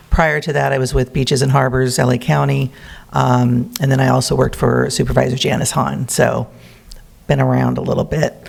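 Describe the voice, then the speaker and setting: Noticeable background noise sits behind a man speaking at a fairly quick pace. His loudness stays very even. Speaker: botanic garden community representative. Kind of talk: public presentation. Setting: city council meeting.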